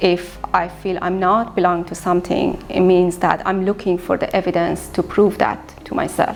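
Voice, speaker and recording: Over noticeable background noise, a woman with a Persian accent talks at a moderate pace in a fairly low pitch with monotone, flat intonation. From Iran. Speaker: visual artist. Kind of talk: interview monologue.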